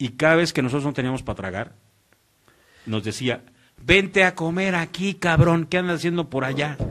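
Against a quiet background, a man with a fairly high voice talks at a moderate pace, using lively intonation and long, frequent pauses. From Mexico, Morelos; Mexico. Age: 40s. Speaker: radio announcer. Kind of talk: casual interview chat. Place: studio. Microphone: studio mic.

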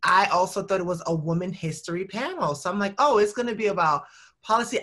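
Over a quiet background, a woman's medium-pitched voice with a bright, sharp tone moves at a very fast pace with ordinary pitch variation. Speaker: nonprofit director and activist. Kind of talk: casual chat. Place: home room. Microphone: video call.

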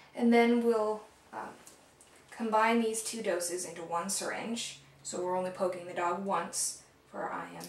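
A woman's voice at a moderate pace, fairly even in intonation, with audible room echo. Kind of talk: tutorial. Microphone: camera far.

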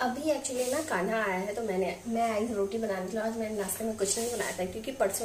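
A woman's medium-pitched voice at a fast pace, with ordinary pitch variation, over clear background noise.

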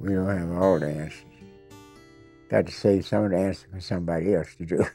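A man with a very deep, low voice talks at a fairly quick pace, his pitch moving in an ordinary way. Music plays behind him. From United States. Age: 80s+. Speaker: war veteran. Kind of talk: documentary interview answer.

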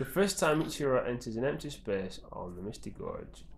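Vocal fry runs through a man's voice as he speaks with lively intonation. His pace is moderate, and room echo is audible. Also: medium pitch for a man.

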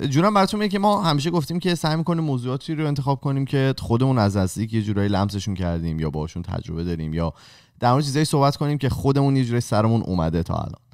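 Over a quiet background, a man talks at a very fast pace with very wide pitch swings. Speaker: podcast host. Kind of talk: casual podcast conversation. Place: home room. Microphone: studio mic.

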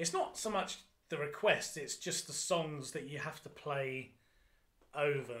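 In an English accent, a man talks at a fairly slow pace with a fairly high pitch and ordinary pitch variation. The background is quiet. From England. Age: 30s. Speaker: function band drummer; podcast guest. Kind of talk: casual chat. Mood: relaxed, jokey storytelling. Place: home room. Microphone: studio mic.

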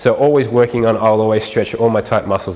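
Intonation stays fairly even while the words come at a very fast pace. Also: man. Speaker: fitness trainer. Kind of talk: tutorial. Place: gym.

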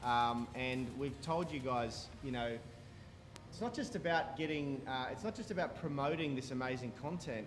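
A man keeps to a moderate pace and ordinary pitch variation while music plays in the background. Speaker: fitness stream host. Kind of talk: casual live stream talk. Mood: earnest, heartfelt. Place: gym. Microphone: headset.

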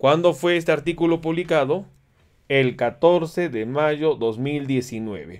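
Against a quiet background, a man with a fairly high pitch speaks at a very slow pace with ordinary pitch variation. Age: 40s. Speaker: physician giving health education. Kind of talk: educational livestream lecture with viewer Q&A. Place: home room.

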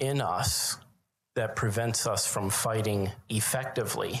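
A man talks at a fairly slow pace. There is audible echo in the room. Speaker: preacher. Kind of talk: sermon. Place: church. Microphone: handheld.

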